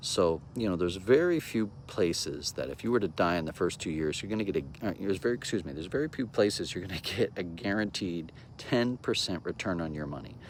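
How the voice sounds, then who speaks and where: Speaking at a very fast pace with hardly any pauses, a man uses a very deep, low pitch and lively intonation. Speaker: insurance agent. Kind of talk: sales pitch. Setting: outdoors.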